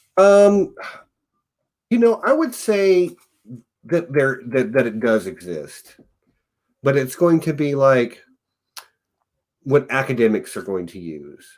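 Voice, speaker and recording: A man with a Southern US accent talks at a very slow pace, leaving long, frequent pauses. His fairly high pitch moves in very wide swings. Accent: mild US Southern. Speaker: podcast host. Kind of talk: casual chat.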